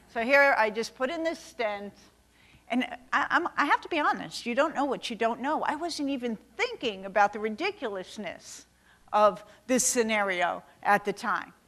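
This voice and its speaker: A woman with a New York accent has a bright, sharp tone at a fairly high pitch. She talks at a moderate pace with lively intonation. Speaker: cardiologist. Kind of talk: keynote lecture. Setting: stage with audience. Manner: animated.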